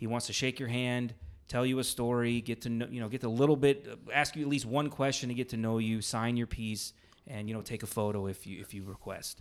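This man has an unremarkable speaking voice at a medium pitch, with fairly even intonation and a fairly quick pace. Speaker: podcast host. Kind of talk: casual chat. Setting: recording in an Airbnb room.

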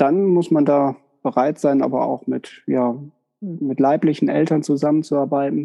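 A man with a fairly high pitch and a normal speaking voice, at a fairly slow pace with fairly even intonation. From northern Germany (Westerkappeln). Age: 40s. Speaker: psychotherapist. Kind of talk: interview.

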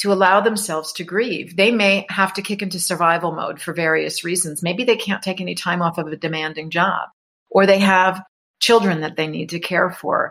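An ordinary speaking voice in a very clean recording with a silent background. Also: woman. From New York. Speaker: author and grief educator. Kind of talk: interview.

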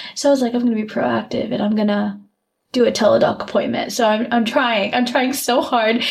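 The voice moves at a fairly quick pace, with audible room echo around it. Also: woman, fairly high pitch for a woman. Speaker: podcast co-host. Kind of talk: casual chat. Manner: animated.

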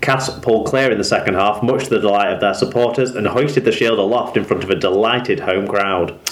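A man's medium-pitched voice, its pitch varying in an ordinary way, is heard against noticeable background noise. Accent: English. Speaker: rugby league podcaster. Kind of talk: scripted sports news roundup.

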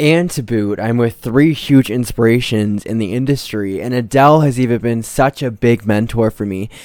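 A man in an ordinary speaking voice talks at medium pitch and a moderate pace with ordinary pitch variation and hardly any pauses, on a very clean recording with a silent background. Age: young. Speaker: podcast host. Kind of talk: casual chat. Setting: home studio.

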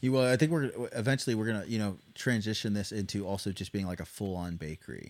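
The speaker uses a plain, everyday voice with an American accent, talking at a fairly quick pace with ordinary pitch variation. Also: man. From US Midwest, southern Missouri (Ozarks). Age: 20s. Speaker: small business owner, army veteran. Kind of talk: casual chat. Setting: studio.

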